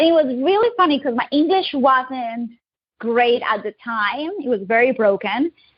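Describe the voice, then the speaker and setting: In a Colombian accent, a woman speaks at a moderate pace, her high voice full of lively intonation. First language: Spanish. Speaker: digital marketing agency owner. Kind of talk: interview.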